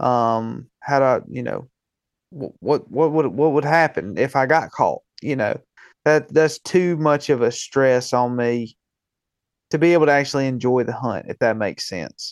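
A man's fairly high voice in a Southern US accent, with ordinary pitch variation, a moderate pace and a quiet background. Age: 20s. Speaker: hunting podcast host. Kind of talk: casual chat.

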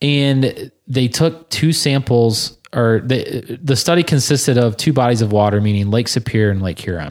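In an American accent, an unremarkable speaking voice moves at a moderate pace with lively intonation. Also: man. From southern Michigan. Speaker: podcast host. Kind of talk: casual chat.

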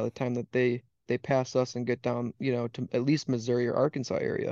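A man with an Upper Midwest accent, medium in pitch and fairly quick in pace, in a dry, close sound with no echo over a quiet background. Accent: Upper Midwest (Wisconsin). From Wisconsin. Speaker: waterfowl hunting guide. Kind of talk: casual chat.

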